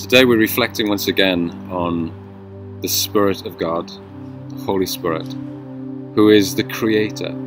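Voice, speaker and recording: Faint music plays in the background as a man with a fairly low pitch talks in a dry sound with no echo. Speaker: devotional host. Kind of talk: devotional reflection. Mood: calm, reflective. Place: car. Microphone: phone near.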